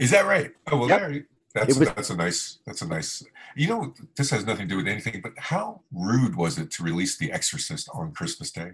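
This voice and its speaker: In an American accent, a man at medium pitch talks at a fairly quick pace with very wide pitch swings and vocal fry. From South Florida. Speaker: podcast host, journalist. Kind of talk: casual chat. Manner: halting, many fillers.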